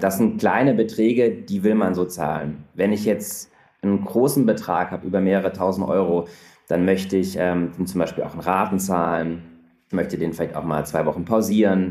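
A man with a very deep, low pitch and a dark, mellow tone talks at a moderate pace with ordinary pitch variation. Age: 30s. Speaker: startup founder. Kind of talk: interview.

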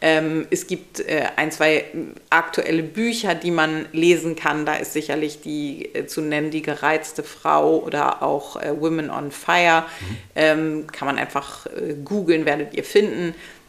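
Very deep, low-pitched woman's voice at a fairly slow pace, fairly even intonation, and noticeable background noise. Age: 40s. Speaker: podcast co-host. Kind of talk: casual chat.

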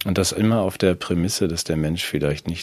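Noticeable background noise sits behind a man talking at a fairly quick pace. His pitch moves with ordinary variation. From Germany. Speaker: podcast co-host. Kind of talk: casual political chat.

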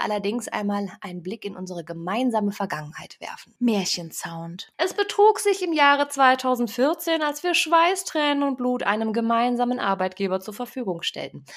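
A woman with fairly high pitch talks with very wide pitch swings and hardly any pauses. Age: 30s. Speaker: podcast host and digital consultant. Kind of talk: scripted podcast trailer, playful.

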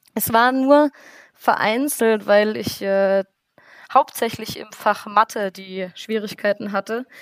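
An ordinary speaking voice at a fairly slow pace. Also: woman, dry, close sound with no echo. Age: 20s. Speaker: student teacher. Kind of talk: interview.

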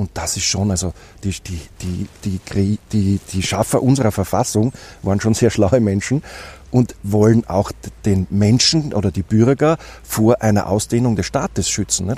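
His voice is fairly low, somewhat breathy and dark and mellow in tone, with ordinary pitch variation at a moderate pace. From Austria, Styria. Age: 40s. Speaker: politician. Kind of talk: interview. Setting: outdoors.

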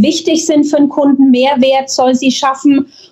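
Fairly even intonation against noticeable background noise. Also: woman. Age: 40s. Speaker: real estate agent, agency owner. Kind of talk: podcast interview. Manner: hesitant, many filler sounds.

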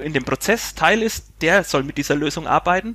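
Bright and sharp in tone, a man speaks at a high pitch and a fairly quick pace. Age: 30s. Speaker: IT administrator and tax firm manager. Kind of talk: podcast interview.

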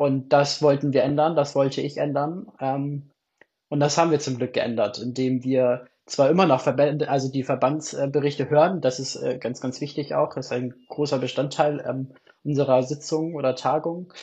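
A man with a somewhat breathy, fairly high voice speaks at a moderate pace in a monotone, flat way. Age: 20s. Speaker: theology student and youth church delegate. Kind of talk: casual interview.

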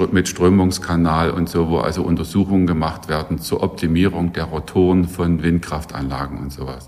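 A man speaks at a moderate pace with a very deep, low pitch. His intonation stays monotone and flat. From Saxony (Saxon Switzerland). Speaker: professor. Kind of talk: interview.

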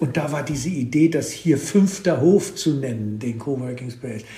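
There is noticeable background noise behind the speaker. A man talks at a moderate pace with a fairly high pitch. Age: 70s. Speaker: author and plant expert. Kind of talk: casual conversation. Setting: at his farm. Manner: halting, many fillers.

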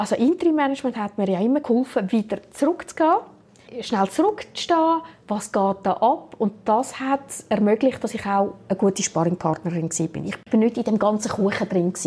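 At a moderate pace, a woman speaks in a somewhat breathy, fairly high voice with a dark, mellow tone. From Switzerland. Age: 50s. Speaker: HR director. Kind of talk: interview.

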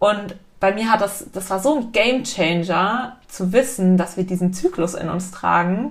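A woman's medium-pitched, fairly slow speech with ordinary pitch variation over noticeable background noise. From Munich, Bavaria. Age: 20s. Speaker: workshop leader. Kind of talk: casual interview. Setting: host's living room.

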